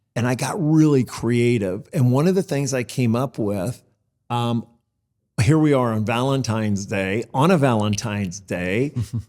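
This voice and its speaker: A man with a normal speaking voice talks at a moderate pace, his medium pitch showing ordinary pitch variation. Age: 60s. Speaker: financial services firm founder. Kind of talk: interview.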